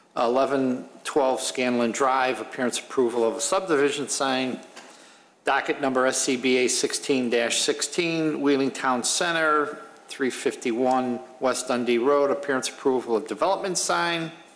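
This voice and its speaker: A man talks at a fairly slow pace with very even loudness and ordinary pitch variation. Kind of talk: formal meeting procedure. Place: hall. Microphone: podium.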